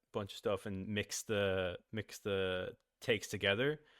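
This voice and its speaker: This man has a normal speaking voice, a fairly low pitch and fairly even intonation. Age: 20s. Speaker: animator and voice actor. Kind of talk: casual interview chat.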